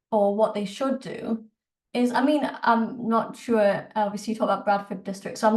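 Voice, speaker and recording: Somewhat breathy, the voice has a northern English accent and a fairly quick pace. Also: woman. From northern England, Newcastle. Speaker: politics lecturer. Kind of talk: Q&A in an online talk. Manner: halting, many fillers.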